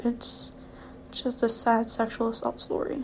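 Against noticeable background noise, a woman speaks at a fairly high pitch and a fairly slow pace. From Louisiana. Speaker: podcaster. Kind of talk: personal testimony. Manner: halting.

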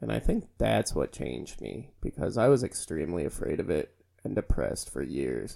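In an American accent, a man with a very deep, low, dark and mellow voice and vocal fry talks at a moderate pace, his pitch swinging very widely. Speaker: podcast host. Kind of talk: casual banter podcast. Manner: crude, joking.

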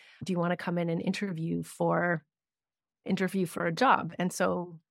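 On a very clean recording with a silent background and a dry, close sound with no echo, a woman with an unremarkable speaking voice, a medium pitch and a Canadian accent talks at a fairly quick pace. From Canada. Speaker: grant writing consultant. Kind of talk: interview conversation.

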